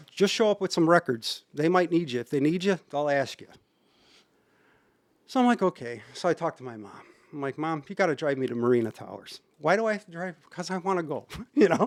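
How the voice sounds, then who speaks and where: A man with a Chicago accent talks very fast at a fairly high pitch, his intonation lively and his loudness swinging widely, on a very clean, dry, close recording with a silent background and no echo. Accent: Chicago area. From Berwyn, Illinois. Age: 50s. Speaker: house music DJ. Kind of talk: podcast interview answer. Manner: casual, conversational.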